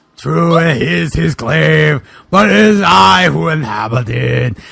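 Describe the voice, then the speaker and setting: Using a booming, put-on character voice, a man speaks at a fairly slow pace with a medium pitch. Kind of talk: comic overacting. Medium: read story. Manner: grandiose, archaic phrasing.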